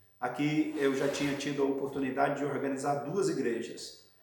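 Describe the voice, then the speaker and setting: Audible room echo and noticeable background noise around a man at medium pitch and moderate pace. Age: 60s. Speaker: pastor. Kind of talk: interview testimony.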